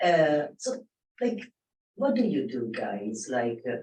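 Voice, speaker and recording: Here a man with a non-native accent speaks at a fairly slow pace. His fairly high pitch swings very widely. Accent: foreign. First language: not English. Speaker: audience member, film production assistant. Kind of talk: audience question at panel. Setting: live panel with audience. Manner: halting, with many fillers.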